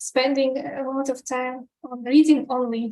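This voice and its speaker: In a non-native accent, a woman speaks with a monotone, flat intonation, her pitch high and her tone dark and mellow. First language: not English. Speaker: research analyst. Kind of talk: webinar talk. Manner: halting, with many fillers.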